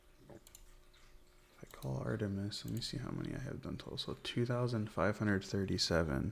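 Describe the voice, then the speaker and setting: With a normal speaking voice, a man talks fairly quickly at a fairly low pitch, his intonation lively. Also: big swings in loudness. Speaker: ASMR gaming content creator. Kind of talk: ASMR gameplay commentary, soft spoken. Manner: soft-spoken, relaxed.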